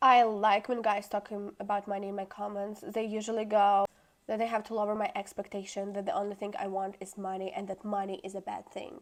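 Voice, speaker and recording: Speaking with a non-native accent, a woman keeps a fairly quick pace. Her pitch sits at a medium level. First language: not English. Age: 20s. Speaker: social media vlogger. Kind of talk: casual monologue. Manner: animated.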